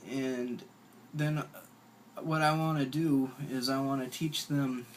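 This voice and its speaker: Speaking very slowly, a man keeps his medium-pitched voice in a flat monotone. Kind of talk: casual talk to camera. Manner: hesitant, stuttering, repeats words.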